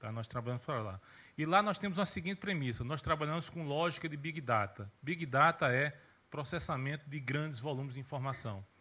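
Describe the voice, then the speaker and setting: With a bright, sharp tone, a man speaks at a fairly high pitch using lively intonation. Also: fairly quick pace. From Rio Grande do Sul, Brazil (Santa Maria). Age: 40s. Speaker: journalist and social media consultant. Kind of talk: conference talk.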